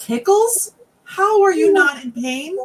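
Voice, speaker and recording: Using a put-on character voice, a woman speaks squeaky and at an extremely high pitch, with very wide pitch swings and a fairly slow pace. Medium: stage play. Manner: blunt, exasperated.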